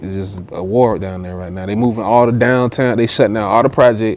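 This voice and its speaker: This man talks at a fairly quick pace, in a medium pitch, with fairly even intonation. Noticeable background noise runs behind him. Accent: strong Southern US. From US South, Augusta, Georgia. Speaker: rapper. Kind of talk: casual interview chat.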